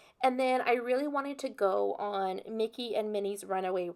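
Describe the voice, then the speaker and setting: In a very clean recording with a silent background, a woman with an unremarkable speaking voice talks at a moderate pace, fairly high in pitch and with ordinary pitch variation. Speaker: planner youtuber. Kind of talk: casual vlog tutorial. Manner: casual, many fillers.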